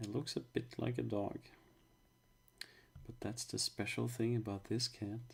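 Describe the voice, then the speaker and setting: Somewhat breathy, a man keeps a moderate pace and fairly even intonation, with long, frequent pauses. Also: medium pitch for a man. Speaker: illustrator and art teacher. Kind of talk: live drawing stream. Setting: livestream. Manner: casual, halting.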